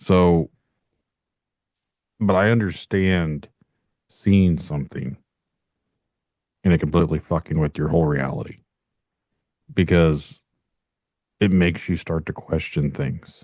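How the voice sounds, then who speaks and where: Speaking at a fairly slow pace with long, frequent pauses, a man with a very deep, low pitch sounds dry and close with no echo. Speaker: podcast host. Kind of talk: casual interview chat. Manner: monotone, even.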